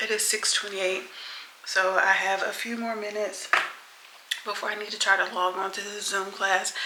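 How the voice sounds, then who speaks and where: There is a woman talking. Behind her, music is playing. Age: 40s. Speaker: lifestyle vlogger. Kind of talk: casual talk to camera. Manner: chatty.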